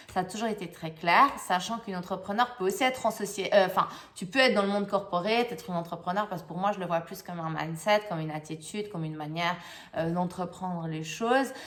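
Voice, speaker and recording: The speech races along at a very fast pace. Its loudness swings widely while the pitch varies in an ordinary way. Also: woman, medium pitch for a woman. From Switzerland. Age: young. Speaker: life coach. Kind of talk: channel introduction monologue. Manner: halting, many hesitations and repeats.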